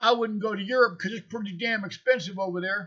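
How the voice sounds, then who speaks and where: This man's high-pitched voice has a bright, sharp tone, an animated delivery and ordinary pitch variation. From United States. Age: 60s. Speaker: vlogger. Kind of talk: casual monologue.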